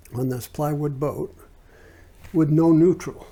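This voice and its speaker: A man's voice sits fairly high, dark and mellow in tone. It is somewhat breathy. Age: 70s. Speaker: oral history interviewee. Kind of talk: interview answer. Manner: casual, reminiscing.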